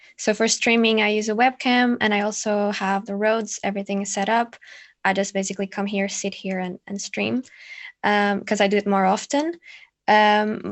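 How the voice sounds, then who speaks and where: A woman with a non-native accent and a medium-pitched voice. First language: not English. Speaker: ASMR content creator. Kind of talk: panel discussion.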